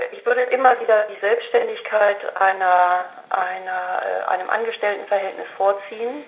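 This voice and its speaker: A woman speaks with fairly even intonation. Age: 50s. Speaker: café owner. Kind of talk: interview. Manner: hesitant, many filler sounds.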